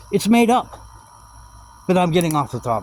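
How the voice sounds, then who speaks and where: Noticeable background noise runs under the recording. A man speaks at medium pitch. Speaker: vlogger doing a solo monologue. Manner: fast talker; rambling, jabbering.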